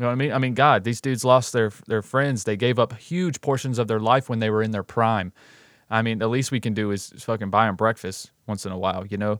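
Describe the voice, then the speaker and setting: On a very clean recording with a silent background, a man with an American accent has an ordinary speaking voice at medium pitch, ordinary pitch variation, and a fairly quick pace. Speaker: podcast host. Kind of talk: casual chat.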